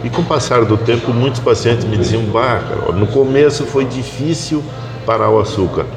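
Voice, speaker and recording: A man's medium-pitched voice at a moderate pace with ordinary pitch variation, audible room echo and music in the background. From southern Brazil. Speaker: doctor. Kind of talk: casual interview. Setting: café.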